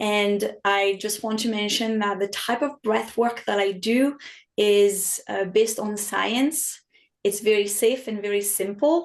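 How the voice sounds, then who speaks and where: A woman with a French accent speaks with fairly even intonation against a quiet background. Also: medium pitch for a woman, fairly slow pace. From France. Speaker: health and wellness coach. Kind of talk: podcast interview.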